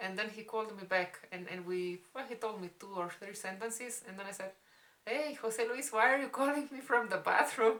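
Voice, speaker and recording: Her loudness swinging widely, a woman with a bright, sharp tone speaks at a moderate pace in a fairly high pitch with ordinary pitch variation. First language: Spanish. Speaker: vlogger. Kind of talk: casual storytime chat. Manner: halting.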